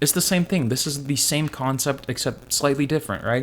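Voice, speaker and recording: At a fairly quick pace, a man talks in an unremarkable speaking voice with ordinary pitch variation. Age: 20s. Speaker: fitness and trading vlogger. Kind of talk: casual vlog monologue.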